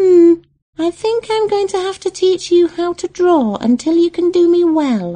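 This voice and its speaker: Putting on a squeaky character voice at an extremely high pitch, a woman speaks at a moderate pace. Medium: read story. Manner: bossy.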